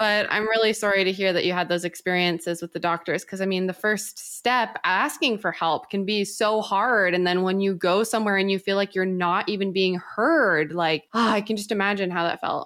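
A woman speaks in a normal speaking voice at a medium pitch, moving at a fairly quick pace with fairly even intonation. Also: hardly any pauses. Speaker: guest. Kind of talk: casual conversation.

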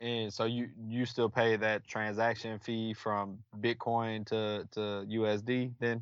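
A man's medium-pitched voice with a Texan accent, monotone and flat, at a very slow pace with hardly any pauses. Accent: Texan American. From Texas (Killeen). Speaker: guest. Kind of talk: casual chat.

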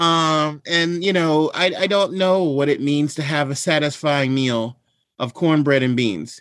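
This man has an unremarkable speaking voice with an American accent, a fairly high pitch and ordinary pitch variation. His loudness is very even on a very clean recording with a silent background. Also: fairly slow pace. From Washington DC area and Maryland, US. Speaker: culinary historian and cookbook author. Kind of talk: interview conversation.

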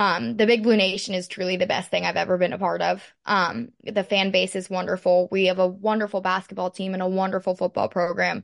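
A woman with an American accent and a normal speaking voice talks at a fairly quick pace with hardly any pauses, medium pitch and fairly even intonation. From Pittsburgh, Pennsylvania, US. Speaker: college dancer. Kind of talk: casual interview.

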